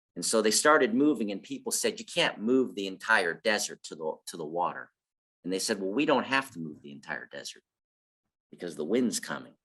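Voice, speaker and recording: A man with a fairly low pitch, vocal fry and a bright, sharp tone talks at a fairly quick pace with very wide pitch swings. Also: big swings in loudness. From Ojibwe (Anishinaabe) community, Garden River. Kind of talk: casual group discussion.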